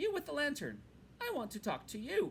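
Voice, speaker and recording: A man's put-on character voice, extremely high-pitched, at a fairly quick pace, over clear background noise. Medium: read story. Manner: hearty, confident.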